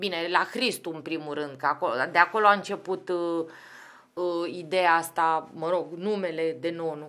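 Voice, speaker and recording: Bright and sharp in tone, this woman's voice sits fairly low in pitch. She keeps a moderate pace and fairly even intonation. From Romania, Craiova then Bucharest; Romania. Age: 40s. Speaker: football club executive; podcast guest. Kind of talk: casual chat. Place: studio. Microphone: studio mic.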